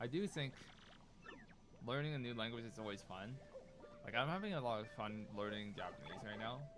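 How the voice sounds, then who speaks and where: Amid audible room echo, a man of medium pitch talks at a fairly quick pace with lively intonation and long, frequent pauses. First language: Cantonese. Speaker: video game streamer. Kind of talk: casual live stream chat. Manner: casual, filler-heavy.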